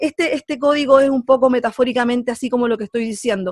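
A woman's fast, fairly high voice in a Chilean accent, with ordinary pitch variation, a slightly mellow tone and a dry, close sound with no echo.

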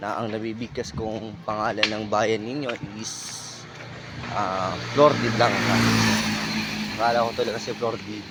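A man at a fairly slow pace, with long, frequent pauses and noticeable background noise. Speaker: barefoot runner vlogger. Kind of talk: casual vlog narration while running. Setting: outdoors, along the highway. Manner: halting, stammering.

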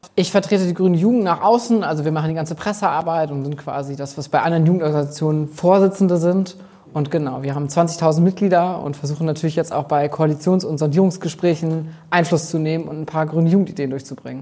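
A man talks at a very fast pace with hardly any pauses. His tone is dark and mellow, and his intonation is fairly even. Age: 20s. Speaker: youth party spokesperson. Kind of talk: interview answer. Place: home room. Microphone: lapel.

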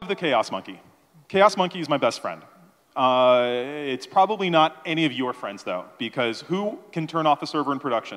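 A man talks at a moderate pace with lively intonation and a fairly high pitch. The background is quiet. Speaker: conference speaker. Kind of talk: conference talk. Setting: stage with audience. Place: hall. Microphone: handheld.

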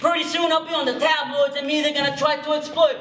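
A man speaks at an extremely high pitch, with audible room echo and light background noise. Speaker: spoken word poet. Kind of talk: spoken word performance to live audience. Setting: high school auditorium, live audience. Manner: rhythmic, fast. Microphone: camera far.

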